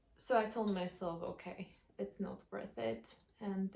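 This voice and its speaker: A somewhat breathy woman's voice at medium pitch. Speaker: vlogger. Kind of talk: casual vlog monologue. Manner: slow; halting.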